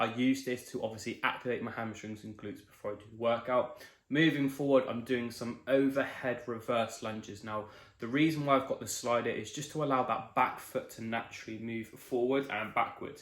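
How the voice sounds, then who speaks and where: This man speaks with an English accent at a fairly quick pace and a medium pitch. His intonation stays fairly even while his loudness swings widely. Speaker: fitness vlogger. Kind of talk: voiceover narration; vlog. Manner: fast.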